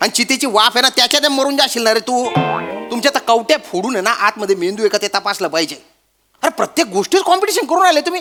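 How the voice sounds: A man does a put-on character voice at an extremely high pitch, talking fast with a bright, sharp tone and lively intonation while faint music plays in the background.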